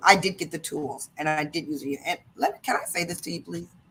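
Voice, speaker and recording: A woman's fairly low-pitched voice with an American accent. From US Midwest, Detroit Michigan. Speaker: motivational speaker and sales leader. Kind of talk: interview. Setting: live video stream. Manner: fast; animated.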